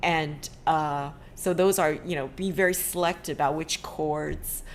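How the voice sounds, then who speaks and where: Fairly slow and with fairly even intonation, the speech comes in a Chinese accent. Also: woman. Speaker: ukulele teacher and meeting host. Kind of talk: casual video-call discussion. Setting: video call.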